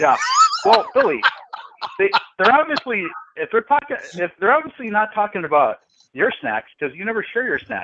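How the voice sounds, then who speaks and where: Pausing long and often, a man with a high pitch talks at a moderate pace, his voice moving in very wide pitch swings. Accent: American. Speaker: radio show co-host. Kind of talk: casual chat.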